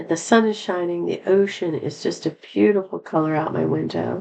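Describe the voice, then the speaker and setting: Using a put-on character voice, a woman speaks at a moderate pace in a raspy, fairly low register. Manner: cheerful despite being tired.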